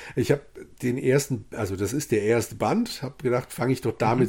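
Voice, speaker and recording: A somewhat breathy man with a dark, mellow tone speaks at a fairly quick pace and medium pitch with ordinary pitch variation, on a very clean recording with a silent background. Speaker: podcast co-host, bookseller. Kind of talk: casual chat.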